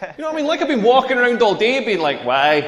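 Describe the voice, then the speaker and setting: A man with a Scottish accent speaks at an extremely high pitch with very wide pitch swings. Noticeable background noise runs under his voice. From rural Scotland. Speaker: comedian. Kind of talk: stand-up. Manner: animated.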